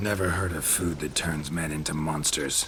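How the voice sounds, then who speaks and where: Through clear background noise, a man does a put-on character voice at a moderate pace in a very deep, low pitch. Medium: game stream. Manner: terse, flat.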